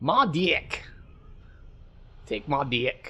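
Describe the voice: This is a put-on character voice. It is done in an Australian accent as part of the act. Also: man.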